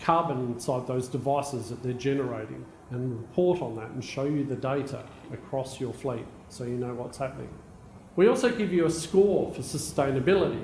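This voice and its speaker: In an Australian accent, a man talks at a fairly quick pace with a medium pitch and ordinary pitch variation. Audible room echo surrounds his voice. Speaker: technology executive. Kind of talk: conference keynote talk.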